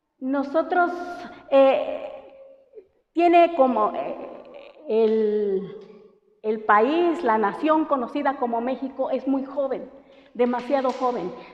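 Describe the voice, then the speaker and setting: With audible room echo, a woman speaks at a high pitch and a very slow pace, with ordinary pitch variation and long, frequent pauses. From Oaxaca coast, Mexico (Santa María Huazolotitlán). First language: Mixtec (speaking Spanish). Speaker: language teacher. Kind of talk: lecture. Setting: classroom. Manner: hesitant, many fillers.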